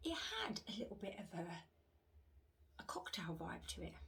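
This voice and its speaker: In a whisper, a woman with a British accent speaks quietly amid noticeable background noise and audible room echo. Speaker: wax melt reviewer. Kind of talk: casual product review vlog. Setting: home room, upstairs. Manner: hushed, near whisper; hesitant, many fillers.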